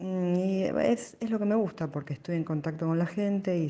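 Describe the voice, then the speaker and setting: The tone is dark and mellow, with a Rioplatense accent. Pitch variation is ordinary and the pace moderate. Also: woman. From Buenos Aires, Argentina. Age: 50s. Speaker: blind lawyer. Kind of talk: personal testimony. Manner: halting, with fillers.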